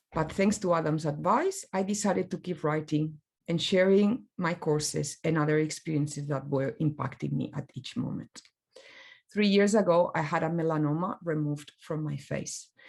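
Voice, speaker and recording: A woman speaks at a moderate pace in a very deep, low voice. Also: ordinary pitch variation. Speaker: graphic designer. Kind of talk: presentation talk.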